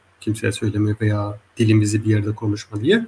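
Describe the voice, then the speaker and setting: A man's somewhat breathy voice. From Germany, Hesse/Frankfurt area, Turkish-Zaza family. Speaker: linguist. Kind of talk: interview. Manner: halting, many filler sounds.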